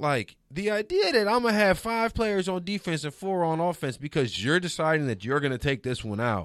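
With an American accent, a man of high pitch makes very wide pitch swings at a moderate pace, on a very clean recording with a silent background. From New Orleans, raised partly in Detroit. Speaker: sports TV producer. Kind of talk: casual chat. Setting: studio.

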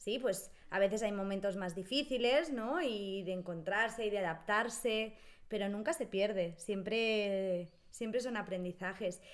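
Here is an ordinary speaking voice from a woman at a medium pitch. She talks at a fairly slow pace with ordinary pitch variation. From Spain, Barcelona. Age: 30s. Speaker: Spanish teacher. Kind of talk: casual chat.

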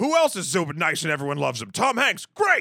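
A man puts on a character voice pitched high. He speaks at a fairly quick pace.

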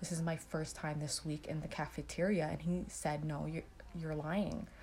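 A woman with a very deep, low pitch and vocal fry talks at a moderate pace, her intonation fairly even. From Canada. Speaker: public health graduate. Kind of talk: interview testimony.

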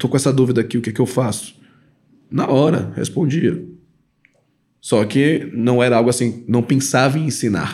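Speaking at a moderate pace, a man leaves long, frequent pauses. His medium pitch has ordinary variation, and his loudness stays very even. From Belém, Pará, northern Brazil. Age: 30s. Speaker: credit card educator, former engineer. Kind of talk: podcast interview. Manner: casual, filler-heavy speech.

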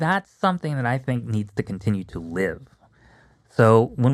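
A man with an unremarkable speaking voice, medium pitch, lively intonation and a fairly quick pace, in a dry, close sound with no echo and a very clean recording with a silent background. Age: 40s. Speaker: costume hobbyist. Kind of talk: casual chat.

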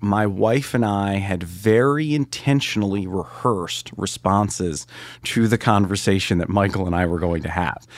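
In a very clean recording with a silent background, a man with an unremarkable speaking voice talks at a fairly low pitch with ordinary pitch variation. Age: 40s. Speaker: mission trip volunteer. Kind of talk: interview testimony.

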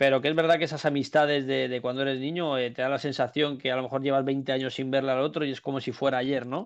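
A man talks at a very fast pace with hardly any pauses. His intonation stays monotone and flat. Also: medium pitch for a man. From Spain, Madrid area (Alcobendas). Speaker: professional padel player. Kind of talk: casual chat. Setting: Twitch live stream.

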